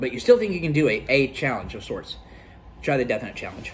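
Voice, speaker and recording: Somewhat breathy, a man speaks at a fairly high pitch and moderate pace. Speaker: gaming youtuber doing food challenge. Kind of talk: casual vlog talk to camera. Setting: at home with friends and family. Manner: halting, bumbling.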